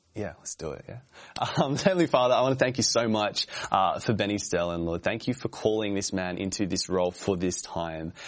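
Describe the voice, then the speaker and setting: Fairly quick in pace, a man talks in an unremarkable speaking voice. His pitch is fairly low, with ordinary pitch variation. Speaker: pastor. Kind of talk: casual chat.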